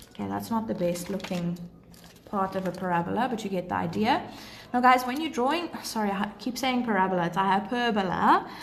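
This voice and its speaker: A woman talks at a fairly quick pace, her medium pitch showing ordinary variation. The room echo is audible, and background noise is noticeable. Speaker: maths teacher. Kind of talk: livestream tutorial; casual Q&A with viewers. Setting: live stream.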